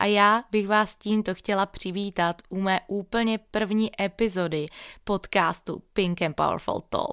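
In an upbeat tone, a woman speaks very slowly at a medium pitch, recorded very cleanly against a silent background, dry and close with no echo. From Moravia, Czechia. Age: 20s. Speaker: fitness trainer and podcast host. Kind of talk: scripted monologue.

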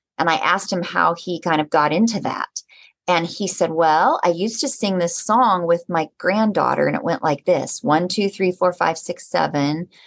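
A woman talks at a moderate pace in a fairly low, unremarkable speaking voice with ordinary pitch variation. The sound is dry and close, with no echo. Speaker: gerontology professor and author. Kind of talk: interview conversation about aging.

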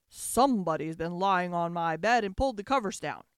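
A growling put-on character voice at a middle pitch, delivered at a fairly quick pace

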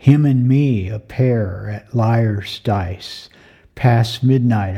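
A man with a dark, mellow tone and medium pitch sounds somewhat breathy, speaking at a very slow pace with ordinary pitch variation. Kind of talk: poet reading aloud.

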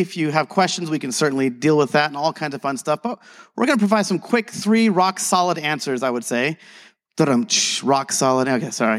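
In a very clean recording with a silent background and a dry, close sound with no echo, a man talks at a very fast pace with lively intonation. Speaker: conference speaker, tour guide. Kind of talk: casual teaching talk. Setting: stage. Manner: fast talker; energetic, jokey.

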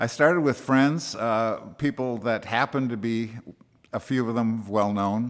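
A man with an American accent and a normal speaking voice talks at a fairly slow pace with ordinary pitch variation, in a very clean recording with a silent background. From US Midwest, Wisconsin. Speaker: actor turned interior designer. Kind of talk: interview. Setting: country club.

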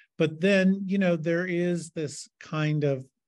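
With ordinary pitch variation and a fairly slow pace, an unremarkable speaking voice is heard over a quiet background. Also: man. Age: 60s. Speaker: artist and arts health educator. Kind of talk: interview.

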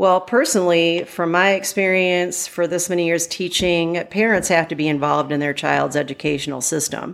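Speaking with an American accent, a woman with a fairly low pitch talks at a moderate pace with hardly any pauses and ordinary pitch variation. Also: very clean recording, silent background. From Michigan. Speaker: teacher. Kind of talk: casual interview.

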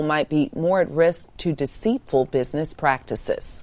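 This is an ordinary speaking voice from a woman. Her pitch is fairly low, with ordinary variation. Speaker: news anchor. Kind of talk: news reading.

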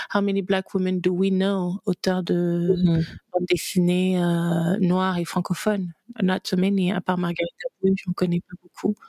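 A very slow, monotone, flat delivery with a dry, close sound and no echo. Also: woman, medium pitch for a woman. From Gabon. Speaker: content creator and business coach. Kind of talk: interview.

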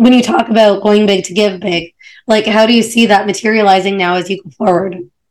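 A woman with a plain, everyday voice speaks at a fairly quick pace with fairly even intonation. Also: medium pitch for a woman. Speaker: podcast host. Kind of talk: interview.

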